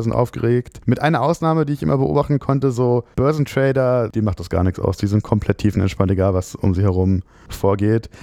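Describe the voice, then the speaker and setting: Through a dry, close sound with no echo and a quiet background, a man speaks at a fairly quick pace in a dark, mellow tone with medium pitch and ordinary pitch variation. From Frankfurt, Germany. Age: 30s. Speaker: lawyer. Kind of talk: interview. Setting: office.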